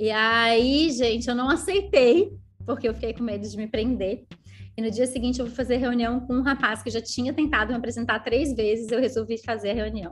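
Vocal fry from a woman with a fairly high pitch, ordinary pitch variation and a moderate pace. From southern Brazil, Rio Grande do Sul (Canela/Gramado). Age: 30s. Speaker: network marketing leader. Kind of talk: casual interview chat, storytelling. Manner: animated.

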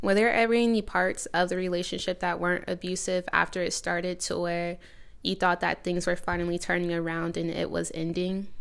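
A woman speaks at a fairly quick pace in a fairly low pitch, her intonation monotone and flat. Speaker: podcast host. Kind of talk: interview with her grandmother on a serious topic.

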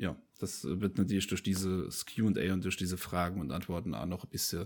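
A man speaks at a moderate pace in a very deep, low voice, recorded very cleanly against a silent background. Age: 20s. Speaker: podcast host. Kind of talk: casual chat. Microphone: new USB microphone.

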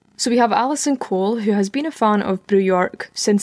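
This woman has a Scottish accent and a medium pitch. She talks at a fairly quick pace with ordinary pitch variation. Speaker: podcast host. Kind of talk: casual chat, podcast conversation.

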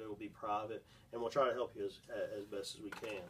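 There is noticeable background noise. A man talks in a flat monotone. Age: 20s. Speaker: former youth pastor, podcast host. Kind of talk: casual Bible discussion.

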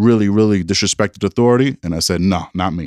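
Speech in a New York accent at a moderate pace, with ordinary pitch variation, on a very clean recording with a silent background and a dry, close sound with no echo. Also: man. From New York City. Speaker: school superintendent. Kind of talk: casual interview conversation. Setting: office.

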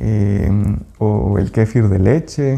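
With music in the background, a man speaks in a Guatemalan accent at a fairly low pitch with ordinary pitch variation. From Guatemala, Quetzaltenango (Xela). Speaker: small business owner, food and sustainability advocate. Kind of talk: interview. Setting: outdoors by a lake. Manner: halting, with fillers and repetitions.

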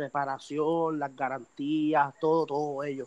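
A man's fairly high voice comes across in a monotone, flat intonation, the sound dry and close with no echo. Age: 20s. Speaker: competitive shooter. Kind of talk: casual interview.

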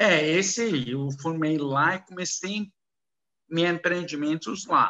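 The speech comes in a non-native accent at a very slow pace, with ordinary pitch variation. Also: man, high pitch for a man. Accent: foreign accent in Portuguese, halting. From Kuwait and Saudi Arabia, Lebanese descent. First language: Arabic (speaking Portuguese). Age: 50s. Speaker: businessman in foreign trade. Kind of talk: casual interview. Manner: halting, mixing English into Portuguese.

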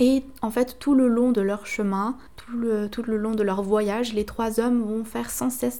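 A woman speaks fairly slowly in a monotone, flat intonation. Her voice is fairly high-pitched with a dark, mellow tone. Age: 20s. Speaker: podcast host. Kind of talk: solo podcast monologue.

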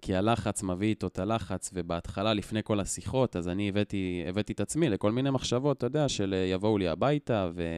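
In a plain, everyday voice, a man speaks at a fairly quick pace and fairly low pitch with ordinary pitch variation and hardly any pauses, in a dry, close sound with no echo and a very clean recording with a silent background. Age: 20s. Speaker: educator, target of online shaming. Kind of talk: interview storytelling.

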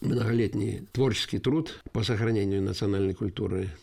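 A man talks at a moderate pace in a fairly low pitch, with ordinary pitch variation. His tone is dark and mellow, and somewhat breathy. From Yelets, Lipetsk region, Russia. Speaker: folk musician and composer. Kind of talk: interview.

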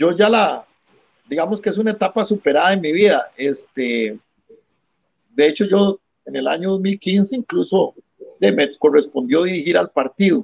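Heard in a dry, close sound with no echo, a man with a high voice and lively intonation talks at a fairly slow pace, leaving long, frequent pauses. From Costa Rica, San José (La Sabana). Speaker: constitutional lawyer and politician. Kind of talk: political interview. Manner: formal.

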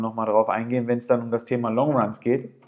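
A man speaks at a very fast pace. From Ruhr area, Germany (Gelsenkirchen). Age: 30s. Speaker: amateur runner podcaster. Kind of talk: solo podcast monologue. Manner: hesitant, many filler sounds.

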